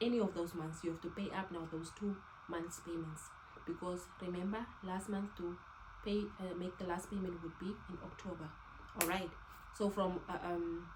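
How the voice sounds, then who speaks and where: A woman speaks with fairly even intonation, with noticeable background noise and audible room echo around her. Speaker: lifestyle vlogger. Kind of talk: casual tutorial. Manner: fast.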